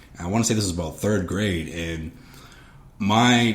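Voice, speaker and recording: With audible room echo and noticeable background noise around him, a man speaks at a moderate pace. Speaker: podcast co-host. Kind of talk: casual chat.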